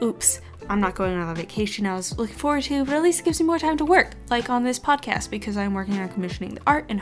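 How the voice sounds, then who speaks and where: Music plays in the background as the speaker goes at a very fast pace with hardly any pauses and very wide pitch swings. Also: woman. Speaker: podcast host. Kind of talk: casual monologue. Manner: rambling casual.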